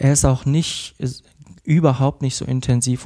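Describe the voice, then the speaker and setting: A man speaks with fairly even intonation. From Cologne, Germany. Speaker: psychotherapist in training. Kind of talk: casual interview.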